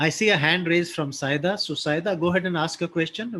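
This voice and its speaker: This man has a plain, everyday voice, moving at a fairly quick pace with ordinary pitch variation. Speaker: business continuity trainer. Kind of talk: online training webinar.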